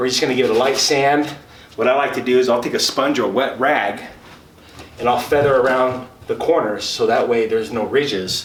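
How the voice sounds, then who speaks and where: A man talks at a fairly quick pace. The room echo is audible and background noise is noticeable. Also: medium pitch for a man, ordinary pitch variation. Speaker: handyman. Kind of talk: tutorial. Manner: fast.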